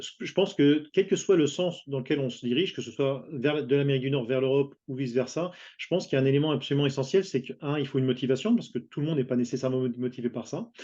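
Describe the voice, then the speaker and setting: Talking at a very fast pace, a man keeps a fairly high pitch. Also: ordinary pitch variation, hardly any pauses. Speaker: international business consultant. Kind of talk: panel interview. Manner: halting, many repetitions and fillers.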